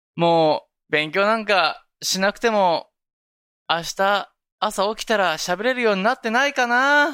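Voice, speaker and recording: A raised, projected voice, bright and sharp, with lively intonation at a fairly slow pace, in a very clean recording with a silent background. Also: man, high pitch for a man. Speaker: podcast co-host. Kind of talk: casual chat.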